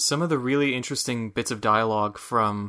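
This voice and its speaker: This man has an American accent and a bright, sharp tone. His intonation stays fairly even against a quiet background. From Michigan, US. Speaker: podcast co-host. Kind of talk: casual chat about a video game.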